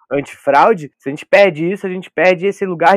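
Against a quiet background, a man with a high pitch talks at a fairly quick pace, the sound dry and close with no echo. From São Paulo state interior (Vale do Paraíba, Taubaté), born in Porto Velho. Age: 20s. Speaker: photographer. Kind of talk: casual chat. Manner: halting, repeats words.

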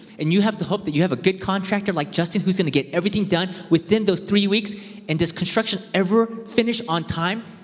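A man's animated, high-pitched voice at a very fast pace, with noticeable background noise. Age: 40s. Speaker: preacher. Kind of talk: sermon.

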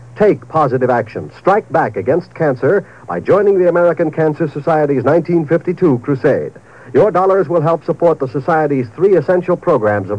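A man speaks at a moderate pace with lively intonation and a fairly high pitch, in a plain, everyday voice. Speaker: radio announcer. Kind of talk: old-time radio commercial and network promo announcements. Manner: polished, upbeat, brisk, formal.

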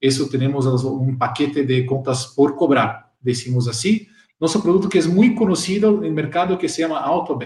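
A man talks at a moderate pace in a Portuguese accent, his pitch fairly high. His intonation is lively and his voice somewhat breathy. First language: Portuguese (speaking Spanish). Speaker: software channel partner director. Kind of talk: live-streamed panel talk.

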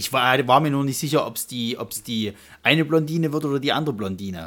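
Intonation rises and falls in a lively way. Words come at a fairly quick pace. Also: man. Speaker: film podcast co-host. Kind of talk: casual chat. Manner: halting, with repetitions.

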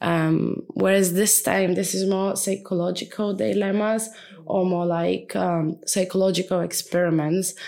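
A woman speaks with a Bulgarian accent at a medium pitch and a fairly slow pace. Her tone is dark and mellow, and her loudness stays very even. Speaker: podcast co-host. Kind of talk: casual chat. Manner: animated.

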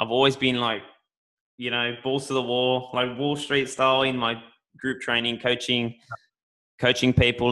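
A man with an Australian accent, medium pitch, and a fairly quick pace. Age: 20s. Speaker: podcast host, gym owner. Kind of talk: casual chat.

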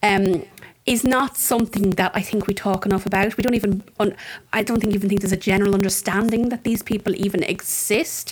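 A woman's medium-pitched voice in an Irish Midlands accent, with fairly even intonation. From Ireland, County Offaly (Tullamore). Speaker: podcast host. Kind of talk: interview.

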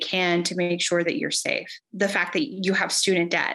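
With an American accent, a woman talks in a plain, everyday voice. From Texas, Rio Grande Valley. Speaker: politician, civil rights lawyer. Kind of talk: political interview.

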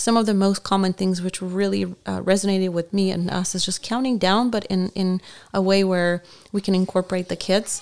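Using a non-native accent, a woman speaks fairly quickly at a medium pitch in a monotone, flat intonation. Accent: foreign accent, noticeable. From Bulgaria. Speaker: military spouse. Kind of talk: interview. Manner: halting, many fillers.

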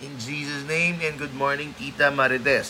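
A man at a fairly slow pace amid audible room echo and noticeable background noise. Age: 30s. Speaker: pastor. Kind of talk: sermon; casual chat.

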